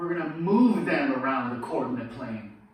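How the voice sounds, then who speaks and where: A man speaks with very wide pitch swings over noticeable background noise and audible room echo. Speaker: high school math teacher. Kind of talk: lecture. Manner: deliberately slowed.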